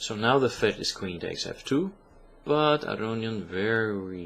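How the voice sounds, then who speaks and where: This man speaks with a non-native accent. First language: not English. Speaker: chess commentator. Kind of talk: game analysis commentary. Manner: hesitant, many filler sounds.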